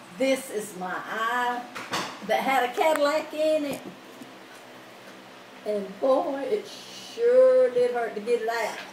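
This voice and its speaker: A woman with a high pitch speaks at a very slow pace, with ordinary pitch variation and long, frequent pauses. There is audible room echo and light background noise. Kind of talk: casual home chat. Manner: frail elderly voice, post-surgery. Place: home room. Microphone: phone near.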